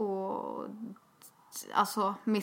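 A woman of medium pitch talks with vocal fry. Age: 20s. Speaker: podcast co-host. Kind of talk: casual chat. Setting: outdoors. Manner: talkative.

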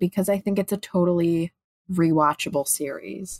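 Delivered at a moderate pace with ordinary pitch variation, a normal speaking voice comes through a dry, close sound with no echo. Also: woman. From Chicago, US Midwest. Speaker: actress. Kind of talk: casual chat.

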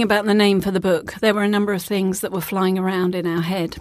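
Someone speaks in a British accent at a fairly quick pace with a calm, relaxed tone. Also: woman. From UK. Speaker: author and facilitator. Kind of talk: casual interview. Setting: studio.

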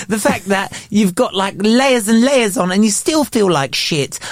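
The speech moves at a moderate pace with hardly any pauses against noticeable background noise. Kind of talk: casual chat. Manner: sarcastic.

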